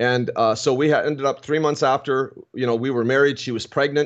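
Here is a man with an ordinary speaking voice and a Canadian accent. He speaks at a fairly quick pace, with medium pitch and fairly even intonation. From Ontario, Canada. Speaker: pastor. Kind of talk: testimony. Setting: video call.

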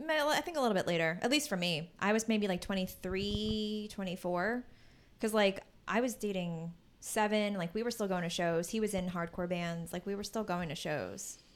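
A woman with an American accent has an unremarkable speaking voice at medium pitch. She talks at a moderate pace with ordinary pitch variation. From Philadelphia suburbs, Pennsylvania. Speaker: podcast co-host. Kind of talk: casual chat. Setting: home recording with fan running.

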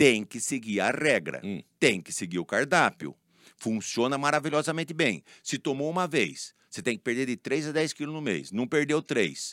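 Fairly high male voice with vocal fry and lively intonation at a moderate pace, dry and close with no echo, in a very clean recording with a silent background. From São Paulo state, Brazil (Leme/Araras area). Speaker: pharmacist and business owner. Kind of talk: interview.

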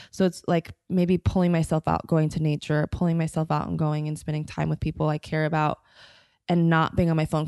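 In an American accent, a woman speaks at a fairly quick pace with a very deep, low pitch and fairly even intonation, the sound dry and close with no echo against a quiet background. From US (Denver, Florida, Houston). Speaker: spiritual teacher. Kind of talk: casual chat.

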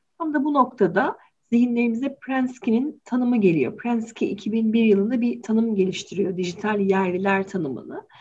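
The voice is somewhat breathy. It runs on with hardly any pauses. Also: woman, fairly high pitch for a woman, ordinary pitch variation, moderate pace. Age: 40s. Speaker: psychologist, podcast co-host. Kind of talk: casual discussion podcast.

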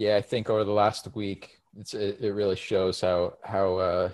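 A man speaks at a fairly slow pace in a fairly low pitch, his intonation monotone and flat, over a quiet background. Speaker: podcast host. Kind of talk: casual chat. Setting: video call.

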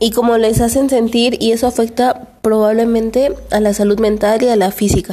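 Against noticeable background noise, a woman speaks in a monotone, flat way at a fairly high pitch, keeping a moderate pace, hardly any pauses and very even loudness. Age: 18. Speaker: student's cousin. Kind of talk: reading aloud.

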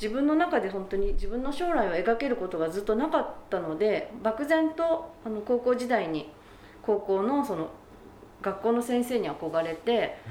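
Fairly high-pitched woman at a fairly slow pace, her pitch swinging very widely, amid noticeable background noise and audible room echo. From Japan, Gunma (Numata). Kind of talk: interview.

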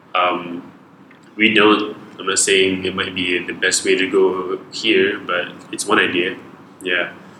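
A man's very deep, low voice, very slow and monotone, flat in intonation, with long, frequent pauses and noticeable background noise. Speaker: podcast guest. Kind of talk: casual chat. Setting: home studio. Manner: mumbly.

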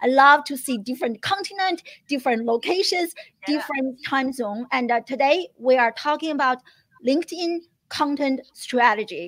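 Speaking at a moderate pace, a woman with a high pitch uses lively intonation and an enthusiastic, animated tone. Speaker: live stream host. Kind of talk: live-streamed interview, upbeat. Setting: live stream. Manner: enthusiastic, animated, laughs often.

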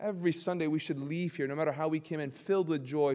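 A man with a warm tone speaks at a fairly high pitch with ordinary pitch variation. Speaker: pastor. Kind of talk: Bible study teaching, with prayer and worship; fervent congregational prayer, leading the church in worship. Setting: church. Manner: earnest, impassioned, preacherly; warm, exhorting the congregation, fervent and heartfelt.

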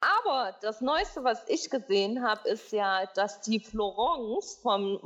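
Noticeable background noise sits behind a woman talking at a fairly slow pace. Her fairly high voice has lively intonation. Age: 20s. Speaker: podcast host. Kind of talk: casual chat. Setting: studio.

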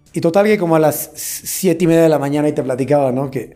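A man's dark, mellow tone at a very fast pace. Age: 40s. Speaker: events bar business owner. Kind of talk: casual interview.

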